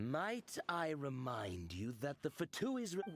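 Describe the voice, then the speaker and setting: Pitched low to middle, this put-on character voice moves at a fairly slow pace with very wide pitch swings. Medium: video game. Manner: cool, detached.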